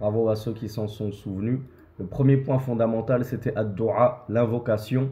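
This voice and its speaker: A man speaks at a moderate pace in a somewhat breathy, medium-pitched voice with monotone, flat intonation. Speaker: imam and religious teacher. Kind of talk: religious lecture.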